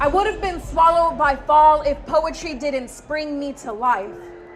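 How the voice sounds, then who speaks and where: Speaking with an American accent, a woman talks at a fairly slow pace with ordinary pitch variation. Background noise is noticeable. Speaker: spoken word poet. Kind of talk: spoken word poetry performance.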